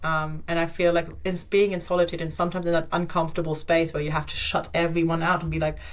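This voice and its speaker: A woman's fairly low, flat monotone voice at a very fast pace with hardly any pauses, plus audible room echo and noticeable background noise. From Germany. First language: German. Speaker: digital nomad and yoga teacher. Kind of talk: podcast interview, casual chat.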